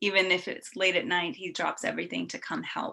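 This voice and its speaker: A soft-spoken woman's fairly low voice, bright and sharp in tone, on a very clean recording with a silent background. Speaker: event moderator. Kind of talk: event introductions.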